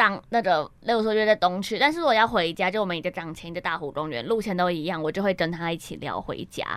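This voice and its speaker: A woman's fairly low voice, very fast and with hardly any pauses, with ordinary pitch variation. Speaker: campus radio co-host. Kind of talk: casual chat with film synopsis reading.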